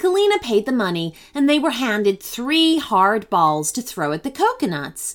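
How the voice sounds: What you hear is a natural reading voice.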